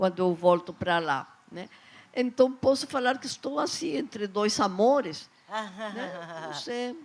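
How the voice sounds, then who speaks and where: Someone speaks at a very slow pace in a Peruvian accent. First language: Spanish (speaking Portuguese). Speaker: children's author. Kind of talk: panel talk.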